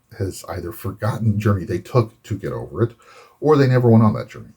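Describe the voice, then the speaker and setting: Somewhat breathy, a man rattles along at a very fast pace with ordinary pitch variation. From Florida. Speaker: Navy veteran, photojournalist. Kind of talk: casual talk to camera.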